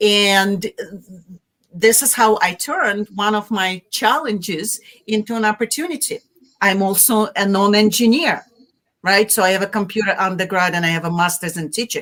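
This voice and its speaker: A woman in a Russian accent speaks at a moderate pace. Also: medium pitch for a woman, ordinary pitch variation. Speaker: marketing executive. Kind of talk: interview. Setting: live video stream.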